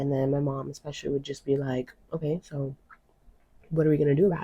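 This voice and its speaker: Somewhat breathy and monotone, a woman speaks at a fairly quick pace, her sound dry and close with no echo. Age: 20s. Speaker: spiritual life coach. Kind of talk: podcast monologue. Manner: casual, filler-heavy.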